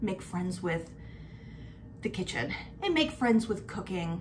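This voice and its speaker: A woman speaks at a moderate pace. Light noise sits in the background. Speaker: lifestyle vlogger. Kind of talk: casual vlog chat. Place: kitchen. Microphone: phone near.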